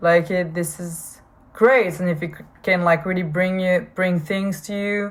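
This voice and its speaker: This woman talks with a strong French accent, her fairly low pitch kept in a monotone, flat intonation. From France. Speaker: podcaster. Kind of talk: personal podcast monologue. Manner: halting, frequent fillers and repetitions.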